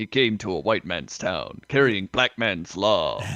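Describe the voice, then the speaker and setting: A man's gravelly put-on character voice at medium pitch, fairly slow, with ordinary pitch variation and a dry, close sound with no echo. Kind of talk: seventies trailer narration.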